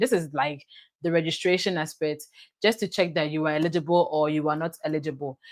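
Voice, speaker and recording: A woman speaks in a very deep, low pitch. The recording is very clean with a silent background. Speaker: online tutor and YouTuber. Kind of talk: live tutorial. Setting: livestream on YouTube and TikTok. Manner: fast.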